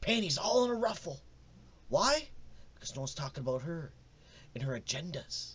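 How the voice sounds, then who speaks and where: The speaker moves at a fairly quick pace with very wide pitch swings and vocal fry, broken up by long, frequent pauses. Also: man, fairly high pitch for a man. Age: 30s. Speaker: podcast host and wrestling promoter. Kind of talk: casual commentary podcast. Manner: animated.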